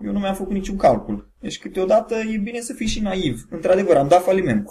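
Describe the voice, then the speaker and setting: A man talks at a moderate pace with a high pitch. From Romania, Bacău (Moldavia). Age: 30s. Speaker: entrepreneur, web hosting founder. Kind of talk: interview. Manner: hesitant, many fillers.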